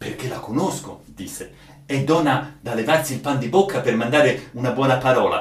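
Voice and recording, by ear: Natural read-aloud delivery, the pitch moving in an ordinary way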